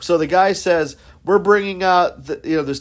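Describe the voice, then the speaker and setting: A man's high-pitched voice in a very clean recording with a silent background. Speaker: podcast host. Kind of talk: casual chat.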